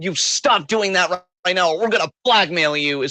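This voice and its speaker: A man puts on a character voice with a high pitch. He delivers it at a moderate pace. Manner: tense, cartoonish threat.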